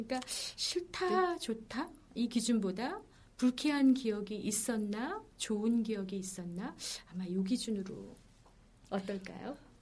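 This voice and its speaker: A woman speaks at a fairly slow pace and a fairly high pitch. Her voice is somewhat breathy. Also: lively intonation. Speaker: healing coach and former broadcaster. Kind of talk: casual interview chat.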